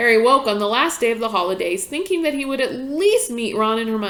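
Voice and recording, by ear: The passage is read aloud in a natural voice, its intonation lively.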